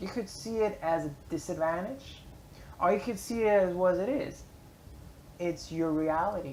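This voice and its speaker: A woman talks at a moderate pace and medium pitch. Long, frequent pauses break her speech, and audible room echo is present. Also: ordinary pitch variation. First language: German. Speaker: vlogger and blogger. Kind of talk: casual motivational vlog monologue. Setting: public library space. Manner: hesitant, many fillers.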